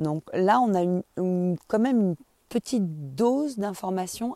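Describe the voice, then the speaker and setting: The voice has a dark, mellow tone and lively intonation at a fairly slow pace. The recording is very clean with a silent background and a dry, close sound with no echo. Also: woman. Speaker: astrology podcaster. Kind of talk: solo monologue. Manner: casual, intimate address.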